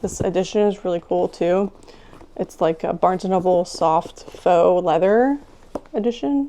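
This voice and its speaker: Delivered at a moderate pace, the speech sits over noticeable background noise. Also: woman. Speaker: booktuber. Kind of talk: casual chat.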